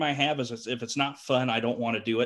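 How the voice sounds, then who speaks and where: This man talks in a medium pitch with a Southern US accent. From rural Georgia. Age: 20s. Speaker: clown and fair entertainer. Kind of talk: casual interview chat.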